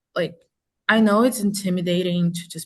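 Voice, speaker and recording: Speaking at a moderate pace, a woman with a non-native accent has a fairly low pitch. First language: not English. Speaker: engineering student. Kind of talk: panel discussion. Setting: webinar video call.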